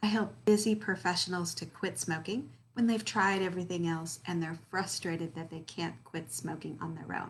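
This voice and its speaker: At a moderate pace, a woman with a fairly low pitch and ordinary pitch variation speaks with vocal fry. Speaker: quit-smoking coach and hypnotherapist. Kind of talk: tutorial. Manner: casual, conversational with fillers.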